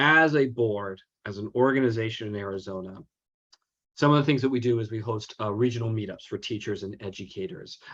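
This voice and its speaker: At a fairly quick pace, a man talks at a medium pitch with ordinary pitch variation against a quiet background. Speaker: president of a teachers' association. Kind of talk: informational presentation. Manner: halting, many fillers.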